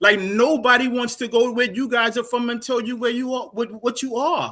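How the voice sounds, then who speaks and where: A man with an American accent speaks in a raised, projected voice at an extremely high pitch. His intonation is fairly even and his pace moderate. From US South, Charleston, South Carolina, Gullah Geechee. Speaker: caller. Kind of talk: heated debate. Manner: heated, talking over others; halting, hesitant.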